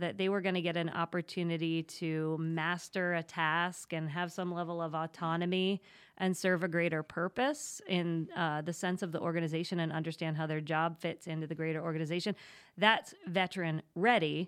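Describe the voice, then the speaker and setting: Captured in a very clean recording with a silent background, a woman with an American accent and a normal speaking voice talks at a moderate pace, her pitch fairly low and her intonation fairly even. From Pennsylvania, State College. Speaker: HR consultancy owner. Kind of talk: interview.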